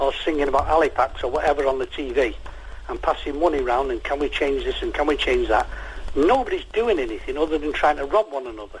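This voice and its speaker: There is noticeable background noise. A man with a Mancunian accent talks at a very fast pace. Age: 60s. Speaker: caller. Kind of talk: phone-in radio chat. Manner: animated.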